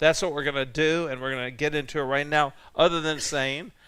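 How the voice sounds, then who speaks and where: A man with an American accent speaks in a bright, sharp tone with fairly even intonation. The recording is very clean, with a silent background. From US South, Richmond, Virginia. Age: 70s. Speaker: pastor. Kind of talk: teaching sermon. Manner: conversational, with many fillers.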